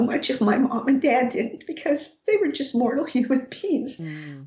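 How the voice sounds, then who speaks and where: This woman talks in an American accent at a moderate pace. Her pitch is high and her intonation lively. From Colorado, US (Rocky Ford). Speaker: author and psychic medium. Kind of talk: casual interview.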